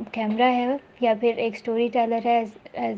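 Her pitch fairly high, a woman talks with monotone, flat intonation. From Pakistan. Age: young. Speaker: film student. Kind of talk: interview.

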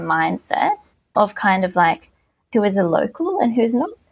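A woman speaks with an Australian accent. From Australia (Victoria). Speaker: researcher. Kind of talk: podcast interview.

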